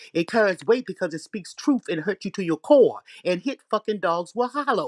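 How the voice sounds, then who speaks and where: Animated in tone, a woman speaks at a moderate pace and medium pitch with lively intonation, the sound dry and close with no echo in a very clean recording with a silent background. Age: 60s. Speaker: online commentator. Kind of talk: casual chat.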